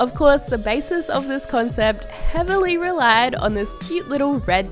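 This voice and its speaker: A woman with an Australian accent at a moderate pace, music in the background. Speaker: fashion YouTuber. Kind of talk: fashion voice-over.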